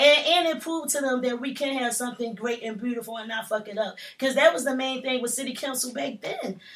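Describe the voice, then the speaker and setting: With hardly any pauses, a woman races along at a very fast pace in a high, animated tone. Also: ordinary pitch variation. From Philadelphia. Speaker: rapper. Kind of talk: casual interview.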